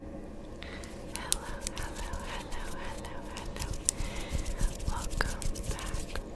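A woman's very slow speech, broken by long, frequent pauses. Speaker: ASMR creator. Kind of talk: ASMR trigger words. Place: home room. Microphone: studio mic.

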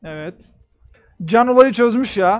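Music plays in the background. Over it, a man talks with ordinary pitch variation. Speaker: reaction streamer. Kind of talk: casual reaction commentary. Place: home room. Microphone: headset.

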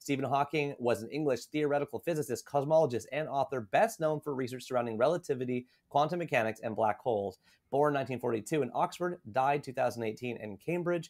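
Over a quiet background, a man talks at a fairly quick pace. His pitch varies an ordinary amount. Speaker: podcast host. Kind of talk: interview host reading book introduction. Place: home room. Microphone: studio mic.

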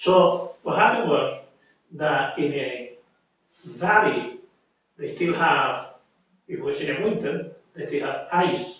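Strong room echo surrounds a man with a Puerto Rican accent who speaks at a fairly slow pace with long, frequent pauses. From Puerto Rico. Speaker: army veteran. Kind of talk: oral history interview answer. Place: home room.

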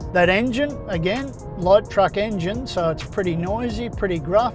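A man at a moderate pace with ordinary pitch variation, a dry sound with no echo and clear music in the background. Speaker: car reviewer. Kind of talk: review commentary. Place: car.

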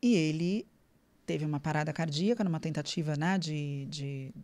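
A woman's voice is very deep and low, with a dark, mellow tone. Her pitch varies in an ordinary way. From Brazil. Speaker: nutritionist; podcast guest. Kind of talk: interview. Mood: somber when recalling father's death. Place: studio. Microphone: studio mic.

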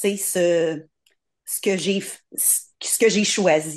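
Quiet surroundings and pitch that varies in the usual way. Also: woman. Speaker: participant. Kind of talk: personal sharing. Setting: video call. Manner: shy. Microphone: video call.

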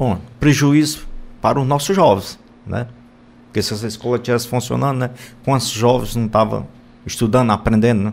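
A man with a Ceará accent talks at a fairly quick pace, using medium pitch and ordinary pitch variation, with long, frequent pauses. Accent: northeastern Brazilian (Cearense) Portuguese. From Brazil, sertão central of Ceará (Boa Viagem); Ceará, Brazil. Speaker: state politician. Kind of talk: radio interview. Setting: radio studio. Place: studio.

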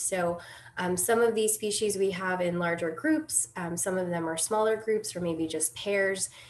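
She keeps a moderate pace as she talks. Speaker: presenter. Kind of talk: lecture. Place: home room. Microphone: webcam.

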